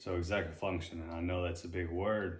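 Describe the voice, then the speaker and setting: Audible room echo hangs around a man whose voice is somewhat breathy. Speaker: retired marine sergeant, brain injury survivor. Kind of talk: interview. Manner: delayed, halting speech; repetitive.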